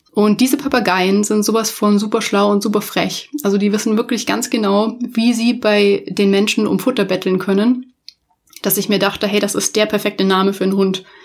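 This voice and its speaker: A woman with an ordinary speaking voice speaks at a medium pitch with fairly even intonation and very even loudness. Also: moderate pace. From Munich, Bavaria, Germany. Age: 30s. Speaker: podcast host, UX designer. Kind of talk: casual solo podcast monologue. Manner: informal, many filler words.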